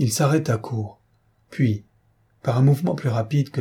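With ordinary pitch variation, a voice reads aloud naturally.

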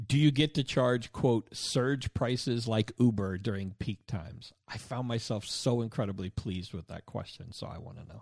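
Somewhat breathy man's voice with big swings in loudness. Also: medium pitch for a man, ordinary pitch variation, moderate pace, dry, close sound with no echo. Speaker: podcast host. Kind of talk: casual interview.

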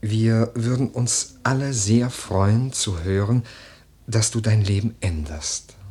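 A man uses a put-on character voice with a husky, rough edge, speaking at a slow pace. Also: fairly low pitch for a man, ordinary pitch variation, slightly mellow tone.

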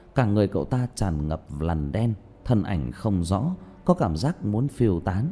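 The speaker is doing plain reading aloud with intonation that stays lively.

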